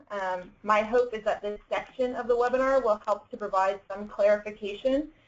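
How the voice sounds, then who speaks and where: A woman's fairly high voice at a moderate pace, an ordinary speaking voice with ordinary pitch variation. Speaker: education agency staff presenter. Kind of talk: webinar presentation. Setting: online webinar.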